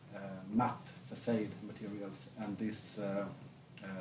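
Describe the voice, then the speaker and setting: With a southern Swedish accent, a man speaks at a fairly low pitch, somewhat breathy, with audible room echo. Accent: Blekinge Swedish accent in English. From Sweden, Blekinge. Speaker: business association chief. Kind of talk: stage interview. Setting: stage with audience.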